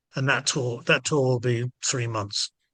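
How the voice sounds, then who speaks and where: Here a man speaks in a bright, sharp tone at a medium pitch and moderate pace. His intonation is fairly even, and the background is quiet. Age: 70s. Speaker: ska band frontman. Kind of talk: interview. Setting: video call. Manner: halting.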